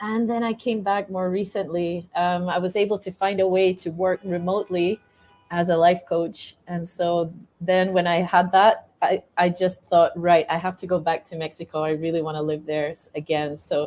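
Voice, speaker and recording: A woman at a fairly low pitch and moderate pace, with fairly even intonation, over music in the background. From Scotland, Edinburgh. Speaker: life coach. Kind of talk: interview conversation.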